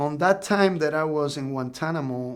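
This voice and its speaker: A man with a Cuban accent. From Cuba, Pinar del Rio. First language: Spanish. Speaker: Cuban refugee and drummer. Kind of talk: interview testimony.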